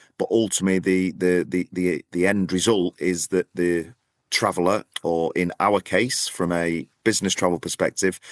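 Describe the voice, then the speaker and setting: A man with a northern English accent and a very deep, low pitch speaks at a fairly slow pace in a monotone, flat intonation. The sound is dry and close with no echo, over a quiet background. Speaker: podcast co-host, business travel association representative. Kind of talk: casual chat. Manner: repeats words, halting.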